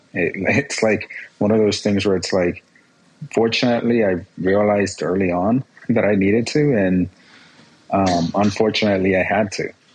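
A man with a Spanish accent speaks in a fairly low pitch at a moderate pace, with fairly even intonation and very even loudness. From Guerrero, Mexico; raised in Escondido, California from age six. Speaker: personal injury lawyer. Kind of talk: interview testimony. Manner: halting, repeats words.

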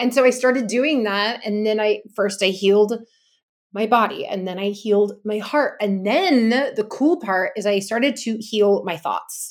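In a very clean recording with a silent background, a woman speaks with a Californian accent. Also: fairly high pitch for a woman, ordinary pitch variation, fairly slow pace. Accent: Californian American. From US West Coast, Los Angeles. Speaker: wellness coach and former fitness business founder. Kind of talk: interview about personal healing journey.

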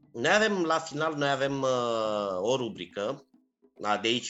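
Speaking at a moderate pace, a man uses an unremarkable speaking voice at medium pitch with lively intonation. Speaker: culinary historian and podcast host. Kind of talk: interview. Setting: remote call.

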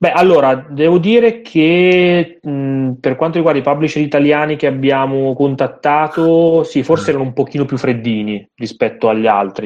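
Using a normal speaking voice, a man talks at a moderate pace with hardly any pauses. His pitch is fairly high and his intonation lively. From Milan, northern Italy. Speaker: indie game writer. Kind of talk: podcast interview.

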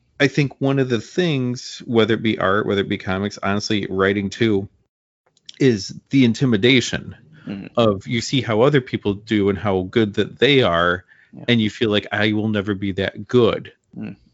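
This man has an unremarkable speaking voice, fairly low in pitch. He talks at a moderate pace with ordinary pitch variation. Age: 40s. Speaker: comic book podcast host. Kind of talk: casual interview chat.

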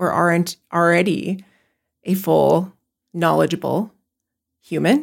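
A woman at a very slow pace, with long, frequent pauses. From Pine Ridge Reservation, South Dakota. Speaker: education program leader. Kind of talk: conversational interview.

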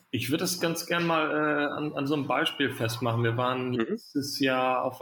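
A man talks at a medium pitch and a moderate pace. His intonation stays fairly even amid noticeable background noise. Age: 30s. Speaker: founder and managing director of a youth welfare nonprofit.

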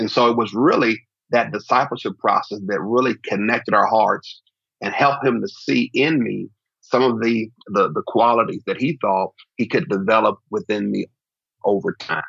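A man with an American accent speaks with vocal fry and ordinary pitch variation. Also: medium pitch for a man, moderate pace. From Oklahoma City, US. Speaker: pastor. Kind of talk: interview conversation.

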